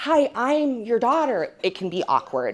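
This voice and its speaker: A woman speaks loudly in an animated tone. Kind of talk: conference presentation. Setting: stage with audience.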